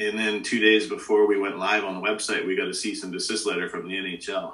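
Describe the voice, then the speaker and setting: A man talks at a fairly quick pace. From Alberta, Canada (Treaty 6 prairies). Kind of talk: casual interview.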